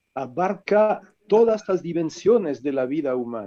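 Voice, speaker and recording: In a French accent, a man with a high-pitched voice and a dark, mellow tone speaks very slowly with lively intonation. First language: French (speaking Spanish). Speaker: author, philosopher. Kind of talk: book presentation talk.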